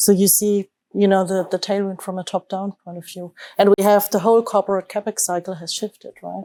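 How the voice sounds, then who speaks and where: With a German accent, a woman speaks at a fairly quick pace in a dark, mellow tone. Her intonation is monotone and flat, her loudness swings widely, and the sound is dry and close with no echo. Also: medium pitch for a woman. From Germany. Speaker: investment manager. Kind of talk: panel discussion. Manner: hesitant, many fillers and restarts.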